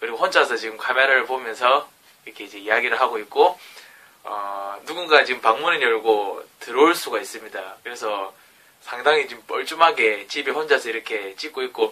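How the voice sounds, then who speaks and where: With a strong Gyeongsang accent, a man speaks in big swings of loudness. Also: fairly quick pace. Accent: thick Gyeongsang dialect. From South Korea, Gyeongsang (Jinju). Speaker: aspiring educator and vlogger. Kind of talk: self-recorded vlog talk. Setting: alone in his bedroom at night.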